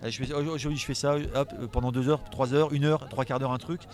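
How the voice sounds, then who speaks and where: Words come out very fast from this man. His voice sits fairly high. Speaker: comic book illustrator. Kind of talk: casual interview. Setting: festival. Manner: animated.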